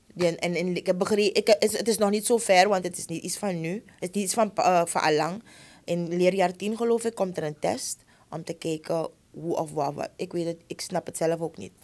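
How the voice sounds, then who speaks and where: A woman's loudness swings widely. Her pitch varies in an ordinary way. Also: moderate pace. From Suriname. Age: 30s. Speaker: schoolteacher. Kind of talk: interview conversation. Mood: earnest, passionate about teaching. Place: studio. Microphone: studio mic.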